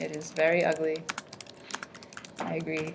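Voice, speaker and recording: There is noticeable background noise. A woman is speaking. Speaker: teacher. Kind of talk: classroom lesson. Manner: loud.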